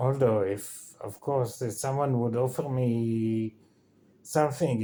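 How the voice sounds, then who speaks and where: A man's voice with a dark, mellow tone, in an Israeli accent. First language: Hebrew. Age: 50s. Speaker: vlogger. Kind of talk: casual vlog monologue. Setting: in bed. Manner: halting.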